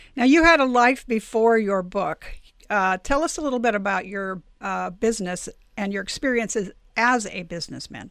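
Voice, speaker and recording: On a very clean recording with a silent background, a woman uses an ordinary speaking voice, fairly high in pitch, with lively intonation at a moderate pace. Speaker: podcast host and publisher. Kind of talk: interview.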